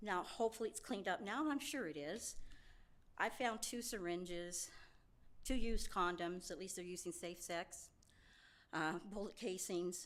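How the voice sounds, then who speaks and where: With long, frequent pauses, a woman speaks at medium pitch and a moderate pace, her pitch varying in an ordinary way against audible room echo. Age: 60s. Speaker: public commenter. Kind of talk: public comment at council meeting. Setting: city council meeting.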